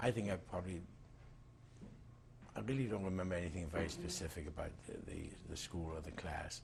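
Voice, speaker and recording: With a very deep, low pitch, a man talks at a fairly quick pace, somewhat breathy, with ordinary pitch variation, long and frequent pauses, and audible room echo. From Germany (Breslau). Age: 60s. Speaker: Holocaust survivor. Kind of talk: oral history interview. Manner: halting, many fillers.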